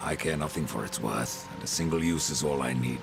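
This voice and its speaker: Over loud music in the background, a man puts on a character voice and speaks at a fairly quick pace. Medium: short film. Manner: terse, dry.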